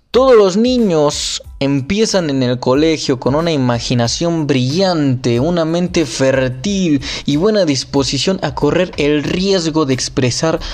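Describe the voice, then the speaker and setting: A man talks at a very slow pace with lively intonation and a fairly high pitch. Noticeable background noise runs behind him. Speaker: podcaster reading a book aloud. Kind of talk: reading aloud; casual commentary. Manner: halting; emphatic put-on accent on key words.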